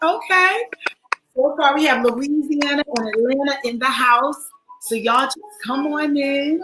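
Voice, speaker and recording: Raising and projecting her high-pitched voice, a woman speaks at a fairly slow pace. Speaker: online counseling show host. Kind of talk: live stream welcome to viewers. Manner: animated.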